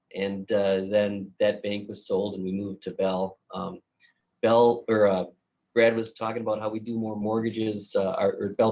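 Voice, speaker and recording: This man, with a Minnesotan accent, talks at a moderate pace in a fairly low, monotone voice with flat intonation. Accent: Minnesota. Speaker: mortgage banker. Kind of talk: casual chat.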